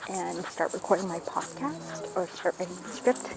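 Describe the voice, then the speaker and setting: At a moderate pace, the speaker talks while noticeable background noise carries on. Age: 20s. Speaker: vlogger and student. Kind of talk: casual vlog talk.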